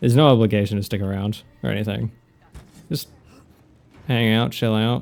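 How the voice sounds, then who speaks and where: A man in an Australian accent, fairly low in pitch for a man, at a moderate pace with fairly even intonation. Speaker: video game streamer. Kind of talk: live gameplay commentary.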